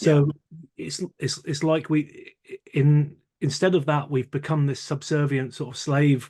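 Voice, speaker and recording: A man talks at a fairly slow pace in a fairly high pitch, with a dark, mellow tone, a somewhat breathy voice and a monotone, flat intonation. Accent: Geordie. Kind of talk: casual conversation. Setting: outdoors.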